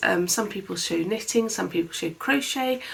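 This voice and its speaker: A woman speaks with a British accent. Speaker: crafts vlogger. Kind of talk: casual chat. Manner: soft-spoken.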